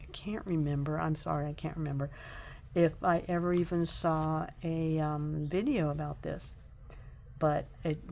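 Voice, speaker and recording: A woman with a very deep, low pitch at a fairly slow pace. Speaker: tarot and craft YouTuber. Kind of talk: casual deck review vlog. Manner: hesitant, many fillers.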